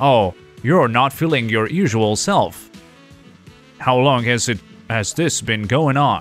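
A man's put-on robotic character voice at medium pitch, very slow and very even in loudness, with faint music in the background. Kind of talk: clinical, flat.

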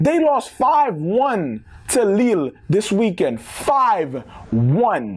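Speaking very slowly, a man uses a high pitch with big pitch swings.

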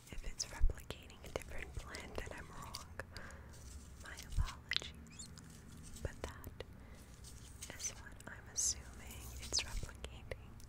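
A soft-spoken woman whispering at a fairly slow pace, with long, frequent pauses. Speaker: ASMR creator. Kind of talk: soft-spoken ASMR narration. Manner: soft close ASMR whisper. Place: home room.

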